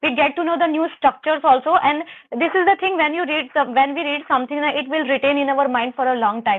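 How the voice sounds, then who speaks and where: A woman with an Indian accent talks at a very fast pace. Her high pitch shows ordinary variation. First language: Hindi. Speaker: English learner. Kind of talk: conversation practice. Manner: halting.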